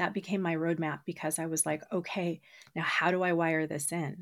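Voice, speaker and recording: A woman with a fairly low pitch speaks at a moderate pace in a plain, everyday voice. The recording is very clean, with a silent background. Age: 40s. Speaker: hypnotherapist and brain training expert. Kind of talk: interview.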